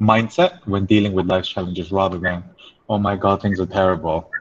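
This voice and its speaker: With an English accent, a man speaks at a fairly quick pace in a fairly low pitch, his intonation monotone and flat. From England. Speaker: life coach. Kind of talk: webinar talk.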